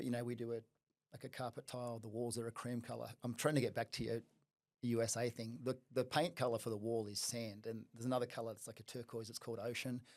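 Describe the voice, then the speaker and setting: An Australian-accented man talks very fast at a medium pitch with a monotone, flat intonation. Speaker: fitness studio franchise founder. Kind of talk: podcast interview. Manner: casual, many fillers.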